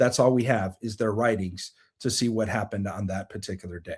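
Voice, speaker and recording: With an animated tone, a man speaks at a fairly quick pace. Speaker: show host on prophetic and spiritual topics. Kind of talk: live online teaching broadcast. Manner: fast.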